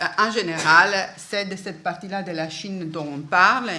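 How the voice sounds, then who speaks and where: A woman's medium-pitched voice with a non-native accent, ordinary pitch variation and a fairly slow pace, in audible room echo. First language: not French (speaking French). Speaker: book historian, conference speaker. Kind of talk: academic lecture. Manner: halting, many hesitations.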